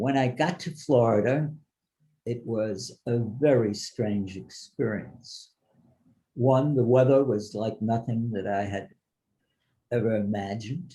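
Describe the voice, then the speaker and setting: Pausing long and often, a man speaks fairly slowly at a medium pitch, his tone dark and mellow and somewhat breathy. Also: ordinary pitch variation. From Germany, later New York. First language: German. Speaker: Holocaust survivor speaker. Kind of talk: testimony to students.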